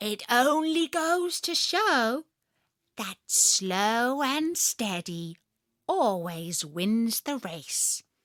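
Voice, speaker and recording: Putting on a smug character voice, a woman speaks at a very slow pace with a fairly high pitch and very wide pitch swings. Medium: read story. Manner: sly, smug.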